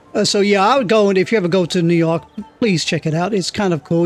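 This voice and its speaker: With music in the background, a man speaks in a relaxed tone with ordinary pitch variation. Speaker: video game let's player. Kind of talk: casual gameplay commentary. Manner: relaxed, rambling.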